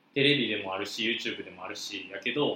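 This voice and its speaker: Noticeable background noise runs under speech at a fairly quick pace. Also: man. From Osaka. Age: 20s. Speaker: podcast co-host, university student. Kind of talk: casual chat.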